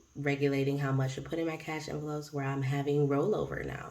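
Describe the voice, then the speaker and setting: Amid noticeable background noise and audible room echo, a woman speaks in a very deep, low pitch with monotone, flat intonation. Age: 30s. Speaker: budgeting vlogger and preschool teacher. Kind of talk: casual vlog talk. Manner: rambling, hesitant with many ums.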